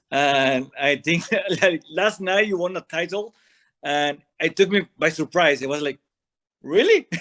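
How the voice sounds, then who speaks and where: A man with a non-native accent and a high, bright, sharp voice speaks at a fairly slow pace with long, frequent pauses, recorded dry and close with no echo against a quiet background. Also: ordinary pitch variation. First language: not English. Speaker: wrestling podcast co-host. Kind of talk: interview.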